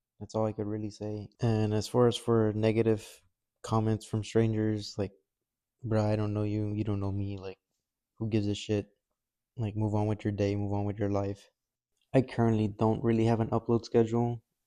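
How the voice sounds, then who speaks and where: A man talks at a moderate pace with long, frequent pauses. His fairly low voice has a dark, mellow tone and monotone, flat intonation. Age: 20s. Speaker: cooking youtuber. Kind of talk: casual vlog talk to camera. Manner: low energy.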